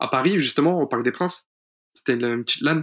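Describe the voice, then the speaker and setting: Over a silent background in a very clean recording, a man speaks at a fairly high pitch. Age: 20s. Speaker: pro esports player. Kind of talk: casual interview.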